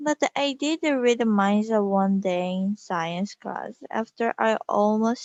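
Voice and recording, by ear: The background stays quiet while a passage is read aloud in a natural voice.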